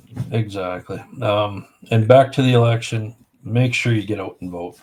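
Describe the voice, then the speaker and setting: This man has a fairly low pitch and speaks with a Canadian prairie accent. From Saskatchewan, Canada. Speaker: firearms association director. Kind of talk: casual podcast chat.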